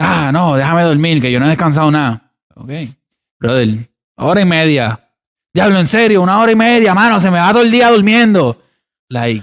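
High pitch for a man, very wide pitch swings, a moderate pace and long, frequent pauses. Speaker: podcast co-host. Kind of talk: casual chat.

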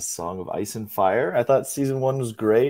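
A man with an ordinary speaking voice, fairly even intonation and a moderate pace. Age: 20s. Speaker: podcast co-host. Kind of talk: casual chat.

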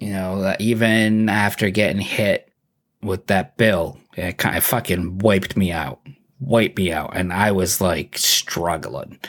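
In a normal speaking voice, a man talks at a fairly slow pace, his pitch fairly low with ordinary variation. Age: 30s. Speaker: podcast host. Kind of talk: casual chat. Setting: video call.

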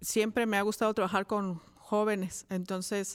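In a flat monotone, a woman speaks at a medium pitch. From Mexico, Cuautla, Morelos. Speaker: education professor. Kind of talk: interview. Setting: studio.

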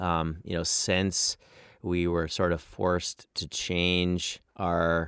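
Very slow and monotone, a man speaks with flat intonation and an American accent. His voice is very deep and low, and the recording is very clean with a silent background. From Washington State, North Cascades. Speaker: mountain guide and guiding company founder. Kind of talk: casual interview. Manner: halting, many fillers and repetitions.

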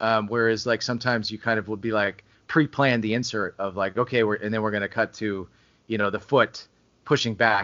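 This is a man with an ordinary speaking voice. He talks at a fairly quick pace. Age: 30s. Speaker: film writer and director. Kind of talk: casual interview.

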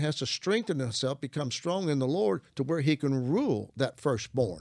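With a Southern US accent and very wide pitch swings, the speaker talks at a moderate pace with hardly any pauses in a very clean recording with a silent background. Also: man. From US South, Arkansas. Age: 70s. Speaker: Bible teacher and author. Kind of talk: religious teaching conversation.

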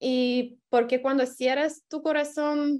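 A high-pitched woman's voice in a Lithuanian accent. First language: Lithuanian (speaking Spanish). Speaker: exchange program participant. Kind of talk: interview.

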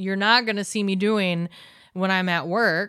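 A woman with a plain, everyday voice, medium pitch and fairly even intonation, in a very clean recording with a silent background. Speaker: guest. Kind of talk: casual chat.

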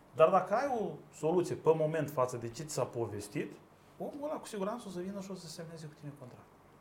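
Noticeable background noise sits behind a man's voice. He talks very fast at a high pitch with very wide pitch swings. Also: big swings in loudness. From Moldova. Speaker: lawyer, law firm co-founder. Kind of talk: casual chat.

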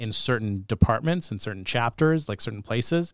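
A plain, everyday voice with a Canadian accent, lively intonation, and a dry, close sound with no echo. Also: man. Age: 30s. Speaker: podcast host. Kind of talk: casual interview chat. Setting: studio.

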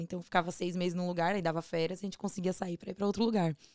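A woman of medium pitch speaks in a monotone, flat intonation on a very clean recording with a silent background, the sound dry and close with no echo. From Brazil, Northeast. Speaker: ice pop business owner. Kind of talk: casual chat.

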